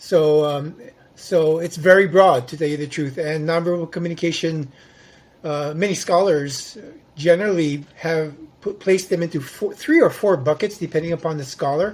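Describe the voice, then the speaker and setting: A man's high voice with fairly even intonation at a moderate pace. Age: 60s. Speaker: psychology researcher on nonverbal behavior. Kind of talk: interview.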